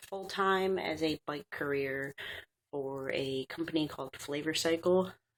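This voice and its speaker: Raspy and with a very deep, low pitch, a woman speaks fairly slowly with fairly even intonation. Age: 20s. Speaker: vlogger. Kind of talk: casual vlog. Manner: hesitant with many fillers.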